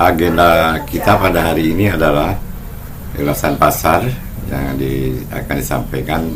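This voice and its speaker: Long, frequent pauses mark a man's fairly slow speech, with ordinary pitch variation, audible room echo and noticeable background noise. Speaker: market review presenter. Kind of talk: online market review presentation. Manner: halting with fillers.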